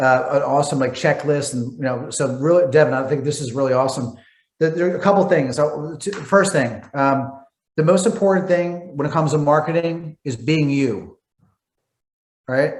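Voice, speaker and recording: Somewhat breathy, fairly high male voice with audible room echo. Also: ordinary pitch variation. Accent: Philadelphia. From Philadelphia, US. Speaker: entrepreneur and marketer. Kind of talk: guest talk on coaching call. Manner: fast.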